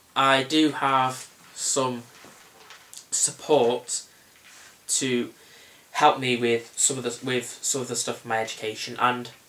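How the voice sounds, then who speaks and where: Against noticeable background noise, a man speaks very slowly at a medium pitch, flat and monotone, with long, frequent pauses. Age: young. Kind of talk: interview answer.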